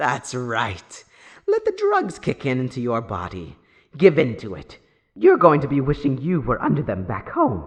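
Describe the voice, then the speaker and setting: Over a quiet background, a man uses a put-on character voice at a medium pitch and a moderate pace. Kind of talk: audio roleplay. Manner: taunting, playful.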